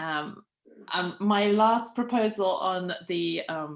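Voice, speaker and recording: A woman with a British accent speaks at a fairly low pitch. Her pitch variation is ordinary, and the background is quiet. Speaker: outgoing PTO co-president. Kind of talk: meeting chairing.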